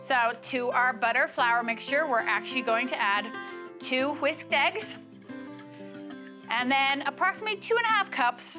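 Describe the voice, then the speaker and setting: A woman talks fairly slowly. Behind her, music is playing. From Ireland. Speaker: bakery district manager. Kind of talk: cooking demonstration to camera.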